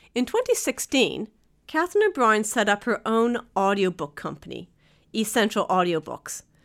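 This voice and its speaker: In an ordinary speaking voice, a woman talks at a moderate pace with lively intonation and fairly high pitch, on a very clean recording with a silent background. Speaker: podcast host and publisher. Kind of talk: interview.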